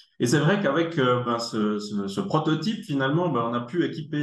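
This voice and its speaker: In a Swiss accent, a man talks at a moderate pace with lively intonation. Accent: Neuchâtel Swiss French. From Germany. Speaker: tech company executive, engineer. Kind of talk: casual interview.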